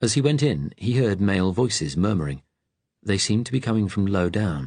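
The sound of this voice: Lively intonation in an unforced reading voice, quiet background behind it.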